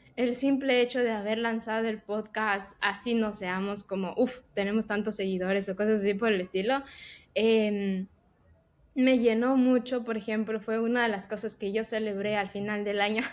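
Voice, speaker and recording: Woman's fairly high voice, monotone and flat, at a moderate pace on a very clean recording with a silent background. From Ecuador. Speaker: tech professional and podcast co-host. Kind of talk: casual interview chat.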